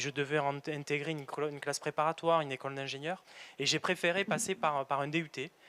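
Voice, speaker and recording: Speaking at a fairly quick pace, a man with a fairly high voice comes through with a dry, close sound and no echo. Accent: southern French. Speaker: factory manager. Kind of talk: career interview in a webinar. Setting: on site at a factory, webinar filming. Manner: halting, many repetitions and hesitations.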